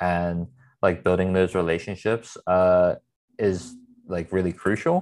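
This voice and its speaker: Against a quiet background, a man with a very deep, low pitch speaks at a fairly slow pace with fairly even intonation. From US Northeast, Philadelphia (Northeast Philly). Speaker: clothing brand founder. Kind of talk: interview.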